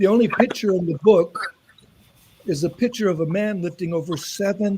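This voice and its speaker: A man's high voice, with ordinary pitch variation, comes through noticeable background noise. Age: 70s. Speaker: author and senior athlete. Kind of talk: panel interview talk.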